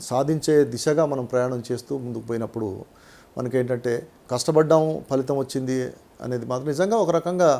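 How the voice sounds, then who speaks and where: A man speaks in a medium-pitched voice with a dark, mellow tone. His pitch varies in an ordinary way. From Telangana, Nalgonda district. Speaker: retired tax official and advocate. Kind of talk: interview.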